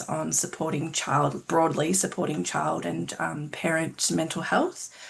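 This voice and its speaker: Over noticeable background noise, a woman with an Australian accent speaks at a fairly slow pace. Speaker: clinical psychologist and researcher. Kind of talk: self-introduction at info session. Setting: video call.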